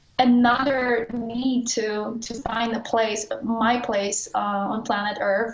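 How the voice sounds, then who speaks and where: A woman speaks in a fairly high, somewhat breathy voice with monotone, flat intonation. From Poland, small town. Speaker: adventure cyclist. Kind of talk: interview. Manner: halting, with hesitations and restarts.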